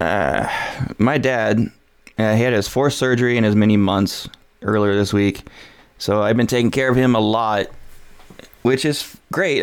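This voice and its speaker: At a moderate pace, an unremarkable speaking voice carries ordinary pitch variation. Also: man. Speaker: podcast host. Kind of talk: casual chat.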